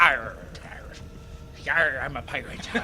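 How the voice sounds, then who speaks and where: A man puts on a character voice at a fairly high pitch, with clear background noise behind him. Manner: mocking, silly.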